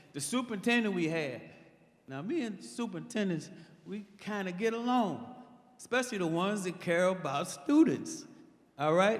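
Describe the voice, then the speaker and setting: There is audible room echo as a man talks at a moderate pace with very wide pitch swings. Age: 70s. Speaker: teacher. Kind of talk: public comment. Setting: public meeting in school. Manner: animated.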